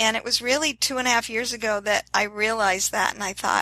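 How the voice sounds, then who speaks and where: There is noticeable background noise behind this woman's voice. She has a fairly high pitch and ordinary pitch variation. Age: 60s. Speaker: fitness influencer and transplant survivor. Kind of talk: interview. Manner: enthusiastic.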